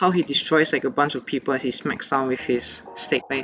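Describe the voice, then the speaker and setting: Over music in the background, a man with a fairly high pitch talks at a fairly quick pace. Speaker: game theory YouTuber. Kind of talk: casual gameplay analysis commentary.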